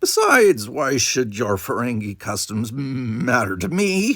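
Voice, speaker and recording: Putting on a character voice, a man speaks at a fairly slow pace and medium pitch with very wide pitch swings. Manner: sneering, contemptuous.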